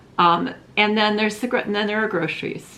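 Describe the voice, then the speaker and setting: A woman speaks with audible room echo. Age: 60s. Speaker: craft vlogger. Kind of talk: casual vlog monologue. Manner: rambling, hesitant with many fillers.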